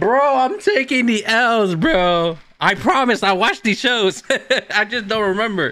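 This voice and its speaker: A man talks at a fairly slow pace in a raised, projected voice. His tone is bright and sharp, with lively intonation. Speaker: reaction streamer. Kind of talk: casual reaction commentary. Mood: amused, laughing. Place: home room.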